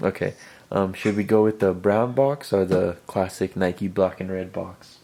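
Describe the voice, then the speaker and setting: This man has a very deep, low voice with a dark, mellow tone, soft-spoken and fairly even in intonation. He speaks at a fairly slow pace on a very clean recording with a silent background. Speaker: sneaker YouTuber. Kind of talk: casual sneaker review video.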